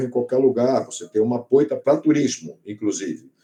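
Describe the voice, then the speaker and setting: A man is speaking. His pace is moderate. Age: 60s. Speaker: biologist and oceanographer, sailor. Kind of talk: panel talk at an event.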